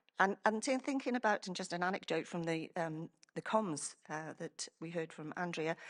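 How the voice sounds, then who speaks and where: With a Welsh accent, a woman speaks with lively intonation at a moderate pace. The sound is dry and close with no echo, and the background is quiet. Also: fairly low pitch for a woman. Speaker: emergency planning professional. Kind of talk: conference presentation. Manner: halting, many fillers and restarts.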